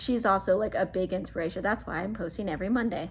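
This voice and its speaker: The speaker is a woman with a medium pitch. Her intonation is lively. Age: 20s. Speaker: YouTuber and hairstylist. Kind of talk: casual chat. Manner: casual, filler-heavy.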